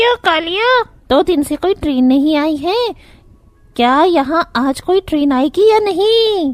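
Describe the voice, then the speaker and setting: In a cartoonish character voice, a female-sounding speaker goes at a fairly slow pace with an extremely high pitch. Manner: bossy, cackling.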